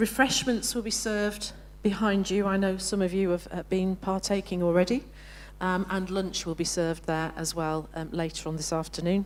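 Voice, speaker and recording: A woman with a northern English accent speaks with fairly even intonation. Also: medium pitch for a woman, moderate pace. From northern England. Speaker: professional association president. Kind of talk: conference opening address. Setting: conference hall with live audience. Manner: hesitant, many fillers.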